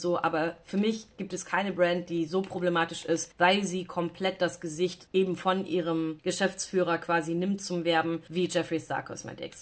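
A woman's fairly low voice, monotone and flat, with hardly any pauses. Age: 30s. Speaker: beauty YouTuber. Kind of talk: product unboxing review; casual vlog chat, product review. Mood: critical, disapproving. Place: home room.

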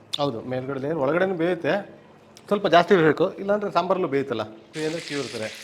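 Over noticeable background noise, a man talks with lively intonation in a fairly high pitch. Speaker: restaurant cook. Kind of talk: cooking demonstration.

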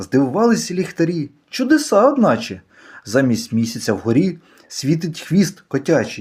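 Speaking at a fairly slow pace, a man uses a playful, animated tone, a high pitch, very wide pitch swings and very even loudness. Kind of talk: poetry reading, playful children's verse read aloud. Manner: animated, rhythmic, sing-song storytelling; playful, whimsical, with shifts of tone for the cat's lines.

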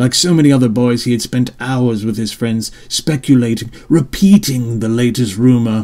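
The words are simply read aloud in a plain way.

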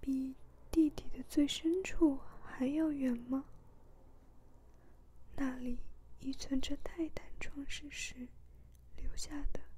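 The speech moves at a very slow pace, with long, frequent pauses. The tone is calm. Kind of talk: ASMR book reading, soft-spoken. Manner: soft, calm, slow reading.

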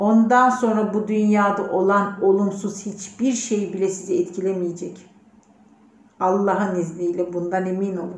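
A woman speaks at a fairly slow pace with monotone, flat intonation. Audible room echo fills the recording. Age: 40s. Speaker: personal development participant; letter reader in a personal development program. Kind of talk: recorded video message. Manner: heartfelt, unscripted. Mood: calm, heartfelt, spiritual. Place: office. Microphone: phone near.

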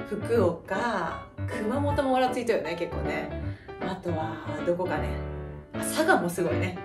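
With clear music in the background, a woman in a Kyushu accent speaks at a fairly slow pace, with long, frequent pauses. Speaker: mother vlogger. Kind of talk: casual talk to camera. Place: home room. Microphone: camera far.

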